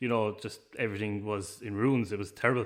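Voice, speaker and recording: Speaking very fast, a man delivers his words in a monotone, flat intonation. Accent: Irish. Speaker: business owner. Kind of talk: interview. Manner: hesitant, many fillers.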